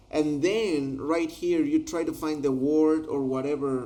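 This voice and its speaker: In a Spanish accent, a man with fairly high pitch speaks at a very slow pace. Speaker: translator. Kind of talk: tutorial. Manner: halting.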